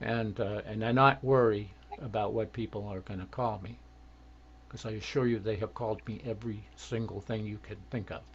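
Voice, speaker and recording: Somewhat breathy, a man speaks with a fairly low pitch. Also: moderate pace. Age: 60s. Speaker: retired self-advocacy worker. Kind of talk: casual interview. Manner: halting.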